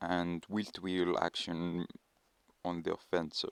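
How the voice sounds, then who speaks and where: A man speaks quietly at a fairly slow pace in a very deep, low pitch, on a very clean recording with a silent background and a dry, close sound with no echo. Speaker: mobile racing game tutorial maker. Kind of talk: game tutorial voice-over. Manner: hesitant, many filler words.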